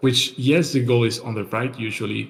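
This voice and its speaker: At a fairly slow pace, a man with a medium pitch speaks in a somewhat breathy voice. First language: not English. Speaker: podcast co-host. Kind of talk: casual solo chat. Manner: halting, many fillers and repeats.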